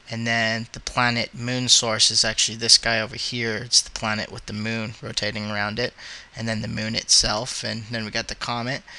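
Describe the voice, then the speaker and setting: Medium-pitched male voice at a moderate pace, monotone and flat, with big swings in loudness and noticeable background noise. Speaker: 3D animation hobbyist. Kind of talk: screen-capture software tutorial. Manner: hesitant, many filler words.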